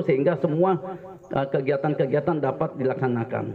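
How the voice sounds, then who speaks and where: A man with a slight Jakarta accent has a fairly high pitch and ordinary pitch variation. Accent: slight Betawi. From Jakarta, Betawi (Cengkareng). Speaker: army officer. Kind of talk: speech at community event. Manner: halting.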